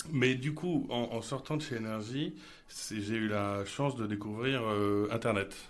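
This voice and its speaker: Male speech carrying ordinary pitch variation, plus audible echo from the room. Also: medium pitch for a man, fairly slow pace. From Paris, France. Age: 30s. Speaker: marketing director. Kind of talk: interview. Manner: hesitant, frequent repetitions.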